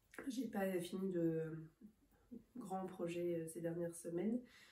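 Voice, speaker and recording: A woman speaks at a very slow pace in a somewhat breathy voice with a dark, mellow tone and fairly even intonation. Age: 30s. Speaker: knitting podcaster. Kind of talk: casual vlog chat. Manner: hesitant, frequent 'euh' fillers.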